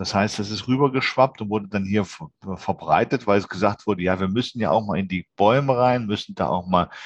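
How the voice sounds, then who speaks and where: In a dry, close recording with no echo, a man with a fairly low pitch and an unremarkable speaking voice talks at a fairly quick pace with fairly even intonation. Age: 40s. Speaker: occupational safety inspector for tree climbing. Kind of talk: interview.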